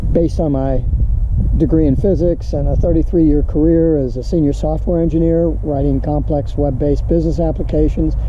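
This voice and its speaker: At a fairly quick pace and very even loudness, a man talks over noticeable background noise with audible room echo. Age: 70s. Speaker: trading educator. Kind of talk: casual vlog monologue. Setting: outdoors. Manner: halting, with many fillers and repeats.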